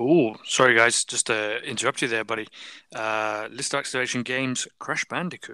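A man with a British accent and a bright, sharp tone talks at a moderate pace with fairly even intonation, recorded very cleanly against a silent background. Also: medium pitch for a man. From UK. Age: 40s. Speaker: podcast guest. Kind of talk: casual chat.

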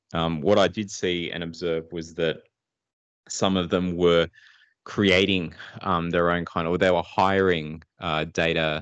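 Over a quiet background, a man with an Australian accent speaks at a fairly slow pace. His very deep, low voice has monotone, flat intonation. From Sydney, Australia (born Philippines, moved at two). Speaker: data analytics entrepreneur. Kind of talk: interview.

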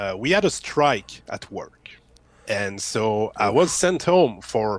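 A man speaks at a very slow pace with a French Canadian accent. His medium pitch swings very widely. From Quebec, Canada. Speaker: YouTuber. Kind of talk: casual interview.

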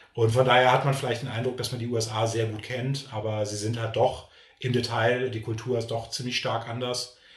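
A man's medium-pitched, monotone voice with flat intonation at a moderate pace, with audible room echo and noticeable background noise. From Berlin, Germany. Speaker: YouTuber. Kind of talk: casual interview. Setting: video recording, in person.

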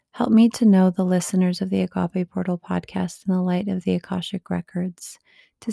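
A woman at a medium pitch speaks in a dark, mellow, intense tone that is somewhat breathy. The sound is dry and close, with no echo. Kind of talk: fervent prayer, solemn invocation. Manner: slow, reverent, intense; earnest, hushed, devotional.

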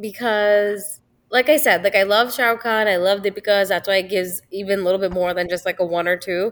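This woman has a plain, everyday voice at a medium pitch. She keeps a moderate pace with fairly even intonation. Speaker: guest. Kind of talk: casual chat.

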